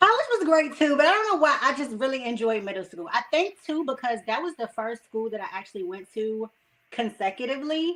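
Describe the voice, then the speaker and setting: Her voice high, a woman talks at a fairly quick pace with very wide pitch swings and big swings in loudness. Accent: American. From Washington DC and Maryland, US. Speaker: radio personality. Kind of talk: interview.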